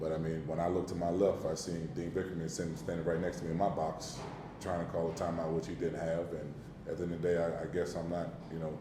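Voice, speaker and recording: A man's very deep, low voice at a very fast pace, with audible room echo and noticeable background noise. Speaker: basketball coach. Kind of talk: press conference. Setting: press conference room. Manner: animated.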